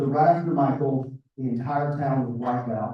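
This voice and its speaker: With an American accent, a man speaks at a fairly high pitch and a moderate pace, somewhat breathy, with fairly even intonation. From US South, South Georgia. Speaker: floodplain consultant. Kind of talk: interview.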